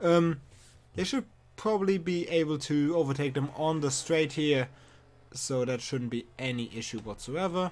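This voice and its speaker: A man speaks at a moderate pace in a fairly high pitch with ordinary pitch variation. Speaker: sim racing commentator. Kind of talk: live commentary. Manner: hesitant with fillers.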